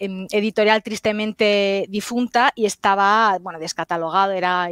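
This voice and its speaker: A woman with a Galician accent speaks at a moderate pace and a medium pitch, her intonation fairly even and her pauses few, in a dry, close recording with no echo. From Galicia, Spain. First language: Galician (speaking Spanish). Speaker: historian and author. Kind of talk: interview. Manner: hesitant, many fillers and repetitions.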